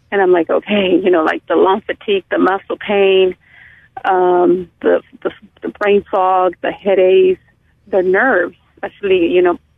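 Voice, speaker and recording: Using an ordinary speaking voice with an American accent, a woman speaks at a moderate pace with a medium pitch and fairly even intonation. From California, US. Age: 40s. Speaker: caller with long COVID symptoms. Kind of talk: casual phone conversation. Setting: phone call.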